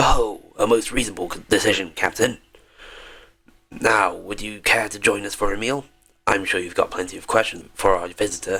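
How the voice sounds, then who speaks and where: Putting on a raspy character voice, a man speaks at a fairly low pitch and a moderate pace with fairly even intonation and big swings in loudness. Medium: game stream. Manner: genial, talkative.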